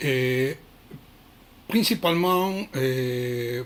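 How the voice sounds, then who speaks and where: With a non-native accent, a man speaks at a medium pitch. His intonation is lively. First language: not French (speaking French). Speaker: krav maga instructor. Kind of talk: prepared talk on training philosophy. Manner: halting, many hesitations.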